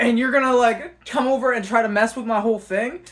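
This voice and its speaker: A woman speaks loudly at a fairly quick pace. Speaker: vlogger. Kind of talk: storytime monologue. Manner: casual, halting with fillers.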